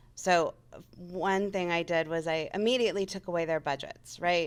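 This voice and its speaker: The woman has a fairly low pitch, fairly even intonation and a moderate pace, in an ordinary speaking voice. The recording is very clean, with a silent background. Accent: General American. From Las Vegas, US West. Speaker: radio sales manager. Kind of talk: interview. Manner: casual, conversational.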